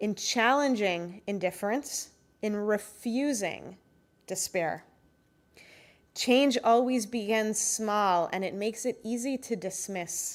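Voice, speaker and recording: Someone speaks very slowly in a strong Israeli accent, with ordinary pitch variation. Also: woman, fairly high pitch for a woman. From born in Canada, moved to Israel. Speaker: closing speaker at a conference, advocacy group representative. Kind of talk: closing speech. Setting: conference stage with audience.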